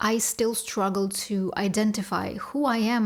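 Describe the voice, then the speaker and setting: With a Russian accent, a woman speaks at a medium pitch and a fairly slow pace with fairly even intonation. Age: 30s. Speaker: vlogger. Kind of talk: personal vlog confession.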